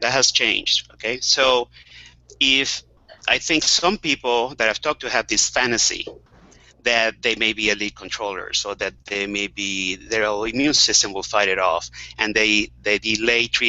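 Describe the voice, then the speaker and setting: With a medium pitch and ordinary pitch variation, a man talks at a moderate tempo. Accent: Spanish. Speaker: webcast moderator, HIV health advocate. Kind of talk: panel webcast discussion. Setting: video call.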